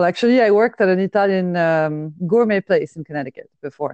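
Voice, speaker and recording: A woman with a French accent rushes along at a very fast pace in a fairly low pitch. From France. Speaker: podcaster. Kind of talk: casual chat. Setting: phone call.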